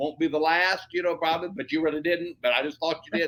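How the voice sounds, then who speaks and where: A man with an American accent talks at a very fast pace. His pitch is fairly high. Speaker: pastor, evangelist, author, radio and television personality. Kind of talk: interview answer, personal testimony. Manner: enthusiastic, charismatic, conversational.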